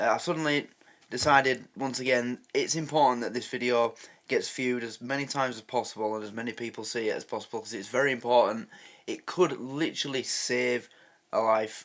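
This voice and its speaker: A man speaks at a medium pitch. The recording is very clean, with a silent background. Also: fairly even intonation, fairly quick pace. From Yorkshire, England. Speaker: reaction video host. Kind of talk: casual talk to camera.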